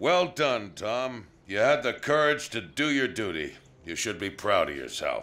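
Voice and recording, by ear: Using a cartoonish character voice, a man speaks fairly slowly at a fairly low pitch, his tone bright and sharp and his intonation lively.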